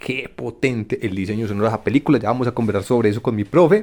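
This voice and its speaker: This man has a plain, everyday voice, medium in pitch, with lively intonation. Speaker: podcast host. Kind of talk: casual chat.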